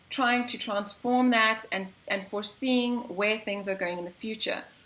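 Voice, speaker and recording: A woman speaks at a fairly high pitch and a fairly quick pace with ordinary pitch variation. Noticeable background noise runs underneath. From South Africa. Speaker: interviewer. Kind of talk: interview.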